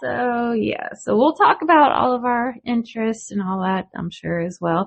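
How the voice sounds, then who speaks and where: A woman speaks at a moderate pace in a fairly high voice, her pitch swinging very widely. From northwest Georgia, Appalachian. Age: 40s. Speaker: podcast co-host. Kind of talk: casual chat.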